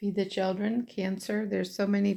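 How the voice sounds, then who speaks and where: A woman's medium-pitched voice at a moderate pace, dark and mellow in tone, with monotone, flat intonation. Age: 60s. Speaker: puzzle hobbyist vlogger. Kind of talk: casual vlog monologue. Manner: rambling, filler-heavy.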